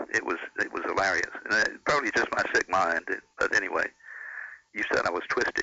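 Speaking at a fairly quick pace, a man with an extremely high pitch shows ordinary pitch variation. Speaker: former radio broadcaster. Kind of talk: casual chat. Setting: phone call.

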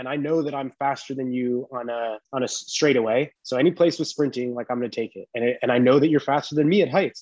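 Here a man races along at a very fast pace with hardly any pauses, using a medium pitch and ordinary pitch variation in a dry, close sound with no echo. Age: 30s. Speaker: parkour athlete. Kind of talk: casual chat.

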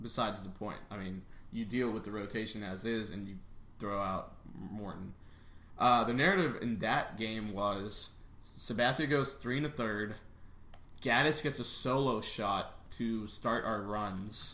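A man's bright, sharp voice at a fairly low pitch, with ordinary pitch variation, a fairly slow pace, long, frequent pauses and audible room echo. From Chicago area, raised in Texas. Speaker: podcast host. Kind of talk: casual sports chat. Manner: animated.

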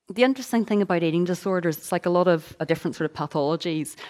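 A woman with a Northern Irish accent at a medium pitch, very cleanly recorded against a silent background. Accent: Northern Irish (Belfast). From Northern Ireland, Belfast. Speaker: author and speaker on eating disorders. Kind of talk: testimony and talk.

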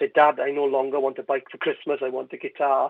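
This is a man talking. He has a Welsh accent. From West Wales (Carmarthen). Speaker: comedian and singer. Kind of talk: radio interview.

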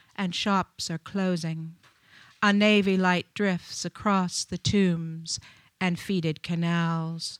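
Speaking at a very slow pace, a woman with medium pitch is recorded with a dry, close sound with no echo, very clean and with a silent background. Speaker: featured poet. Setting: live open mic in a bar with audience, microphone. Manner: animated and warm in chatty intros, slow and deliberate when reading.

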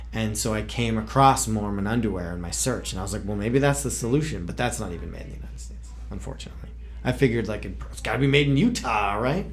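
Very fast speech with big swings in loudness over music in the background. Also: man. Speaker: podcast host. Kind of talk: casual chat about comics.

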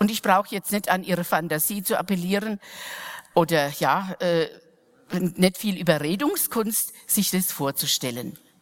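Amid noticeable background noise, a woman speaks at medium pitch and a fairly slow pace. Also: ordinary pitch variation. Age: old. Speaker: mission sister. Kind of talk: sermon.

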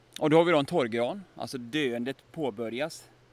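With an ordinary speaking voice, a man talks at a fairly quick pace, medium in pitch with ordinary pitch variation. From Västergötland, Sweden. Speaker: forest biologist. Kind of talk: guided nature walk explanation. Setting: outdoors in forest.

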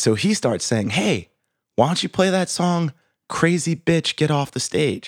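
This man talks at a moderate speed, and the recording is very clean with a silent background. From Boston. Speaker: working musician. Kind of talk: casual chat.

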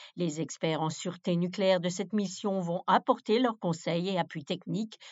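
A woman talks at a fairly slow pace with ordinary pitch variation in a normal speaking voice. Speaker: news presenter. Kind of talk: formal newsreading, crisp scripted bulletin delivery. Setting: studio. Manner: formal; steady, measured, neutral broadcast pace.

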